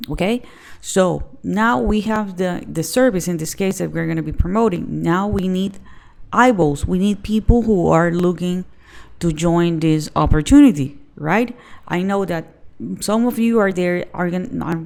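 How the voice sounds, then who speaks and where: This woman has a plain, everyday voice with a fairly low pitch. She talks at a moderate pace with ordinary pitch variation. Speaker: online business youtuber. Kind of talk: tutorial.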